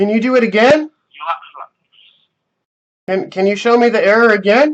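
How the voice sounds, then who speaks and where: A man speaks at an extremely high pitch and moderate pace. His pitch varies in an ordinary way. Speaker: scam baiter. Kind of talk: phone call with a scammer. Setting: phone line.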